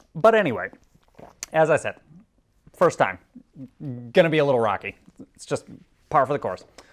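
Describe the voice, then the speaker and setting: A man with a fairly high pitch and vocal fry speaks at a fairly quick pace, with very wide pitch swings, big swings in loudness, and long, frequent pauses. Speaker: YouTube podcast host. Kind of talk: casual solo podcast chat. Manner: rambling, filler-heavy; slurs words.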